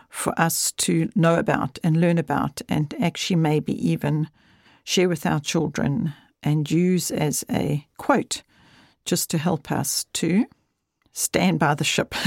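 A woman with a very deep, low pitch speaks at a very slow pace, with vocal fry and ordinary pitch variation. The recording is very clean, with a silent background and a dry, close sound with no echo. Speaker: podcast host. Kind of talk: casual intro to podcast. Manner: warm, friendly, conversational.

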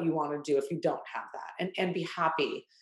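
At a fairly quick pace, a woman talks in an unremarkable speaking voice, fairly low in pitch with ordinary pitch variation. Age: 30s. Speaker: ice cream company founder. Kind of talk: interview.

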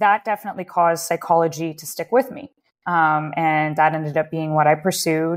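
An unremarkable speaking voice with a Canadian accent, fairly quick pace, ordinary pitch variation and big swings in loudness, on a very clean recording with a silent background. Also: woman, fairly low pitch for a woman. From Canada, Waterloo Ontario. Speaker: psychologist. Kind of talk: interview.

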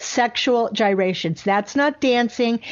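A woman speaks with ordinary pitch variation, keeping a moderate pace. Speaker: radio host. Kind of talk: conservative talk radio show, opinionated monologue and interview. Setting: radio studio broadcast. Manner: energetic, sarcastic, opinionated.

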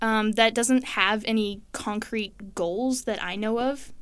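With a normal speaking voice, a woman talks at medium pitch and a fairly slow pace on a very clean recording with a silent background. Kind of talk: interview. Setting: studio.

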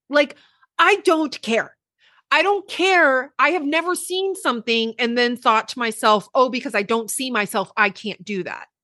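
Against a quiet background, a woman with a high pitch and a bright, sharp tone projects a raised voice with very wide pitch swings, the sound dry and close with no echo. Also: moderate pace. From Puerto Rican heritage, US. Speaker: social media news commentator. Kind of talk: casual chat.

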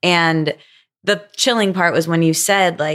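A woman's plain, everyday voice with an American accent, fairly low-pitched and fairly slow, on a very clean recording with a silent background. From US Midwest. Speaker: podcaster and guest interviewer. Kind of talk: interview conversation.

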